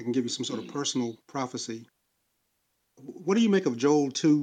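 With a dark, mellow tone and ordinary pitch variation, a man speaks with long, frequent pauses. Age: 60s. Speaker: caller. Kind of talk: religious debate. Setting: online audio room.

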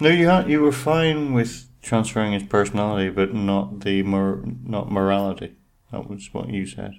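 This man has an Irish accent and a fairly low pitch. He speaks at a moderate pace with lively intonation. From Ireland. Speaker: podcast co-host. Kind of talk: reading a plot synopsis aloud; casual chat.

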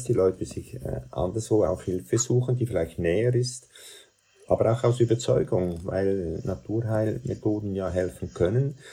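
Speaking at a fairly slow pace, a man has a fairly low pitch and a dark, mellow tone that is somewhat breathy. His intonation is lively. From Central Switzerland. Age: 70s. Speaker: doctor. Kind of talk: interview. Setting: video call.

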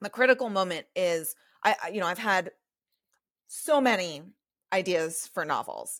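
A woman with a medium pitch speaks at a moderate pace with lively intonation. She leaves long, frequent pauses. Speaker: novelist and management consultant. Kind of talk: casual interview chat. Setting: remote call.

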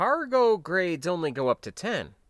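Putting on a character voice, a man speaks with a high pitch, big pitch swings and a fairly bright tone. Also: fairly slow pace.

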